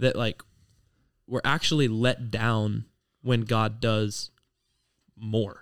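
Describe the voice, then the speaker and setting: A man with an American accent and medium pitch speaks at a very slow pace with fairly even intonation and long, frequent pauses, in a very clean recording with a silent background. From Ohio. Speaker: ministry student. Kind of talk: casual chat.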